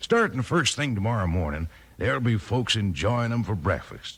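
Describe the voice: A man at medium pitch with big pitch swings, a fairly bright tone, a slightly husky edge and a moderate pace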